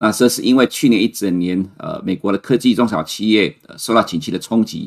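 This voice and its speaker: Fairly quick speech from a man with a fairly low voice and ordinary pitch variation. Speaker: chief economist, financial commentator. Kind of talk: market commentary livestream. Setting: livestream. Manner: frequent fillers and hesitations.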